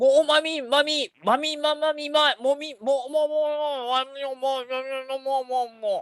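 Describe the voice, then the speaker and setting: A put-on character voice, pitched high and mumbled, moves along at a fairly slow pace. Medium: stage play. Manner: muffled, syllable-only mumbling.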